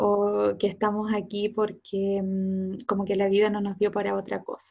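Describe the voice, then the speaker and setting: Speaking with a Chilean accent, a woman holds a medium pitch in monotone, flat intonation. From south-central rural Chile, Cauquenes. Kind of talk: casual interview.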